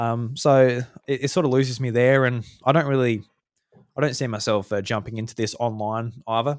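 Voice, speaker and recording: With an Australian accent, a man speaks at a fairly quick pace and medium pitch, his intonation fairly even. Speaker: podcast host. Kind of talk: casual chat.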